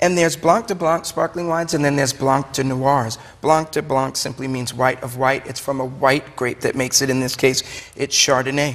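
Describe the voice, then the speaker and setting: A man with a Brooklyn accent speaks at a fairly high pitch, with noticeable background noise. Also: ordinary pitch variation, moderate pace. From Brooklyn, New York. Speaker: wine shop owner. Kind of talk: TV talk show interview.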